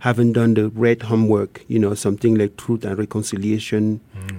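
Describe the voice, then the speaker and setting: A man's voice with music in the background. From rural Cameroon. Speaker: artist and human rights activist. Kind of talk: interview.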